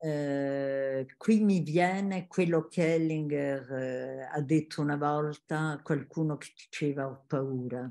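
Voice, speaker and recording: A dark, mellow voice moves at a very slow pace with hardly any pauses. Loudness swings widely over a quiet background. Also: woman, very deep, low pitch for a woman, fairly even intonation. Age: 80s+. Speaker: family constellation facilitator, former teacher. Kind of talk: interview; interview answer. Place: home room. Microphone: webcam.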